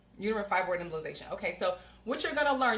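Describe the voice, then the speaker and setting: A woman's medium-pitched voice amid noticeable background noise. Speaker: women's health coach. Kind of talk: live stream cooking demo. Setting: home kitchen, livestream. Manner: fast.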